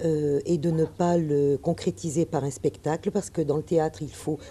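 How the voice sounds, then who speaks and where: A woman at a fairly low pitch and fairly slow pace, an ordinary speaking voice, over light background noise. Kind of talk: interview answer. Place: hall.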